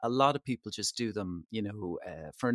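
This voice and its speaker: With an Irish accent, a man talks at a fairly quick pace in a fairly low voice. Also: very clean recording, silent background. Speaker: travel editor. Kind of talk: casual interview chat.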